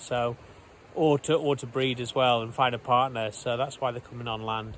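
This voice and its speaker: A man talks in an ordinary speaking voice at a moderate pace. His intonation stays fairly even. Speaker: travel vlogger. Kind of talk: casual travel vlog narration.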